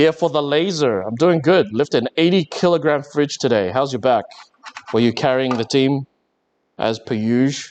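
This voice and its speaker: Talking at a moderate pace, a man uses lively intonation and a fairly high pitch with an Australian accent. The sound is dry and close, with no echo. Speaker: maker livestreamer. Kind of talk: live stream chat. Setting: workshop. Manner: halting.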